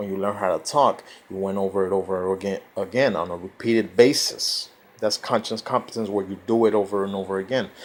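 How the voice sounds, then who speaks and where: A man's fairly low voice moves at a fairly quick pace, its intonation fairly even. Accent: Spanish. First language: Spanish. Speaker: self-help vlogger. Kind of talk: informal lecture. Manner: halting.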